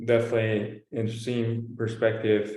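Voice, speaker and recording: Audible room echo surrounds this recording. The speaker is a man with a fairly low pitch. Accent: American. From El Paso, Texas. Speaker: business professional panelist. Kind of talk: panel discussion.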